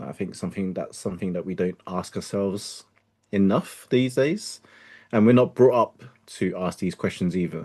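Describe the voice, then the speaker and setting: A man's dark, mellow voice, fairly low in pitch, at a moderate pace with ordinary pitch variation against a quiet background. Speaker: self-leadership coach. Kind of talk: interview.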